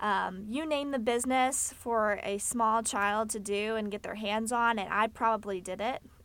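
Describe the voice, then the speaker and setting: A woman with a Texan accent speaks fairly slowly in a fairly high voice with fairly even intonation, on a very clean recording with a silent background. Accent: Texan American. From Texas, Fort Worth. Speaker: podcast host. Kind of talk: solo informative monologue.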